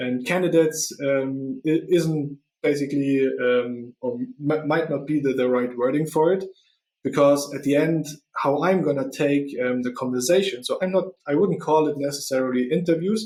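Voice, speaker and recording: This man has a non-native accent and a fairly high pitch. He speaks at a moderate pace with ordinary pitch variation. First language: not English. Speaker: podcast host and recruiter. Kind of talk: solo podcast monologue. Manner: halting, many fillers.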